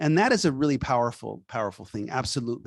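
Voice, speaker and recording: An animated man with a Californian accent, in dry, close sound with no echo and a quiet background. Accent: Californian American English. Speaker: author. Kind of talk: book event Q&A.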